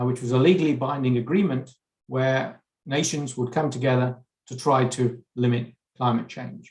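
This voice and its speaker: A somewhat breathy man's voice with an English accent. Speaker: chemistry researcher. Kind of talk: conference lecture. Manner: hesitant, frequent fillers and repeats.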